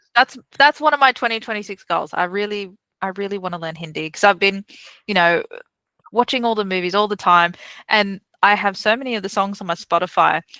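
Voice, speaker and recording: In an Australian accent, a woman talks at a fairly quick pace and medium pitch with ordinary pitch variation, her tone bright and sharp, the sound dry and close with no echo on a very clean recording with a silent background. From Newcastle, Australia. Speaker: delivery manager and podcaster. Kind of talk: interview chat.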